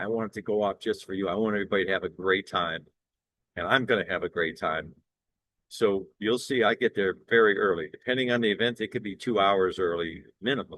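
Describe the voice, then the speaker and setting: At a fairly quick pace, a man speaks at a fairly low pitch with ordinary pitch variation. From South Florida. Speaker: singer and entertainer. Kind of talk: promotional monologue. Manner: halting.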